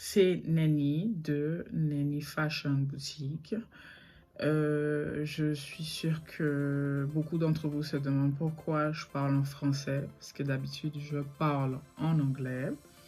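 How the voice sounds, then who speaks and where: Music plays in the background as a woman speaks at a very deep, low pitch. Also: ordinary pitch variation. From Saint Martin (French side), Caribbean. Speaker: online boutique owner and YouTuber. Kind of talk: casual vlog story time. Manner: fast, not clearly articulated; hesitant, many filler sounds.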